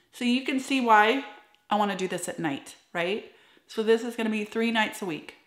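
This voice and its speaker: In a room with audible echo but a quiet background, a woman talks at a moderate pace in an animated tone with ordinary pitch variation. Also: fairly high pitch for a woman. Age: 40s. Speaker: esthetician and skincare YouTuber. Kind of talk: tutorial. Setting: home office. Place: home room.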